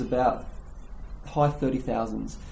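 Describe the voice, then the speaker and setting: Heard through audible room echo and noticeable background noise, a man with an Australian accent talks at a moderate pace. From Australia, Gold Coast, Queensland. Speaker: language podcast guest. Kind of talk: casual chat.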